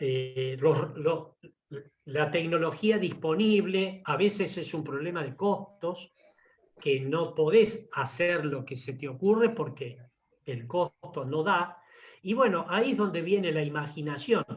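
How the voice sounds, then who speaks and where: A man with a Rioplatense accent talks very slowly in a fairly high voice with ordinary pitch variation. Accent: Argentine Rioplatense Spanish. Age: 70s. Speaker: engine engineer. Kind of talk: technical talk with Q&A. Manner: enthusiastic.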